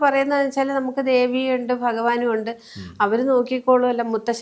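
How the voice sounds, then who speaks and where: A woman speaks with a high pitch. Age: 60s. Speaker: spiritual healer. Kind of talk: interview.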